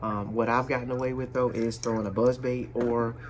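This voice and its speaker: A man's medium-pitched voice at a fairly quick pace. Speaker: fishing youtuber. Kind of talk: casual talk to camera. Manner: loud.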